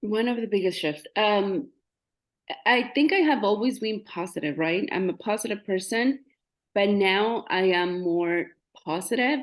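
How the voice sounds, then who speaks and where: A woman with lively intonation and a Spanish accent. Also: medium pitch for a woman, fairly slow pace. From Mexico. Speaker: realtor. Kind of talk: interview testimony. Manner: halting.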